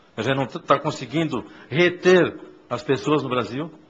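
Pitched fairly high, a man's voice moves along at a moderate pace. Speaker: tourism official. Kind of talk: formal public hearing speech.

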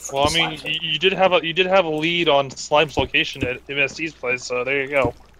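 Over noticeable background noise, a man talks at a fairly quick pace with fairly even intonation and hardly any pauses. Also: fairly high pitch for a man. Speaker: gamer. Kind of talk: casual chat. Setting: voice chat while gaming.

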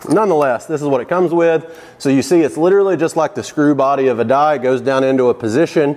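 The speaker is a man. He talks very fast. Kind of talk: tutorial. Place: workshop. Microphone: lapel.

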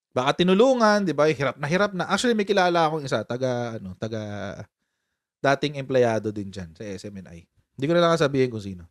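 With an animated tone, a man of fairly high pitch talks at a very fast pace over a quiet background, his pitch swinging very widely. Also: big swings in loudness. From Philippines. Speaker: political commentary YouTuber. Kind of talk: casual live-stream commentary. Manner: animated, laughing often. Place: home room. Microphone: studio mic.

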